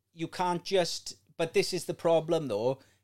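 On a very clean recording with a silent background, a man with a Welsh accent talks at a moderate pace. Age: 30s. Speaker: podcast host. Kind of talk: casual chat.

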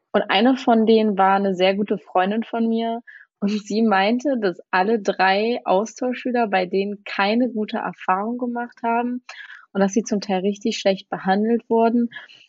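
A woman's ordinary speaking voice, fairly high in pitch, at a moderate pace with fairly even intonation. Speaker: former exchange student. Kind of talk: casual chat.

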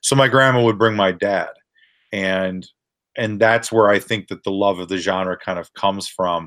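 Heard in a very clean recording with a silent background, a man with an American accent speaks in a plain, everyday voice, pitched fairly low, at a moderate pace with fairly even intonation. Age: 30s. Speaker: filmmaker. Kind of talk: casual interview.

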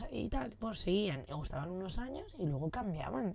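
A woman speaks at a moderate pace with a dark, mellow tone. The recording is very clean, with a silent background. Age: 30s. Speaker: podcast host. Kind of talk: casual monologue. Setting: in a motorhome.

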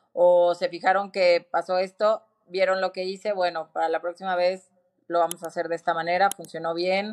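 A woman speaks at a moderate pace in a fairly low pitch, her intonation flat and monotone, recorded dry and close with no echo. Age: 40s. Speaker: fitness studio founder. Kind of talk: interview.

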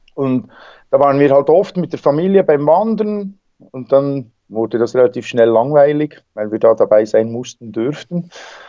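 At a moderate pace, a man speaks with a fairly high pitch and lively intonation. His tone is dark and mellow. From Switzerland, Bernese Seeland. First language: Swiss German (speaking German). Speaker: wingsuit flyer and extreme athlete. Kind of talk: interview. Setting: Skype call.

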